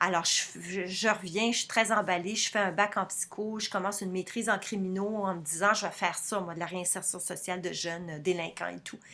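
A woman with a bright, sharp tone and a medium pitch, at a fairly quick pace with fairly even intonation and hardly any pauses. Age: 50s. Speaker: freelance writer and translator. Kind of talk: testimony. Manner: hesitant with repetitions.

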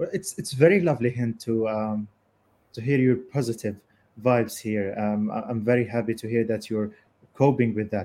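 A man with an Arabic accent, medium pitch, dark, mellow tone, ordinary pitch variation and a moderate pace. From Gaza, Palestine. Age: 20s. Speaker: podcast host, journalist. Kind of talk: live panel interview.

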